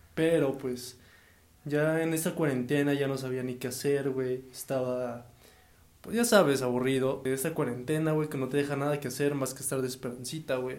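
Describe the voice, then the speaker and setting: A man at a medium pitch and moderate pace, fairly even in intonation, with audible room echo. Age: 20s. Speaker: podcast host. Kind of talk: casual chat.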